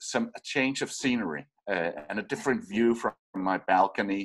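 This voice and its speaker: A man with a Danish accent, fairly slow pace and ordinary pitch variation, in a very clean recording over a silent background. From Denmark. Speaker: radio producer and podcaster. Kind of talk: casual interview. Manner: halting, many repetitions.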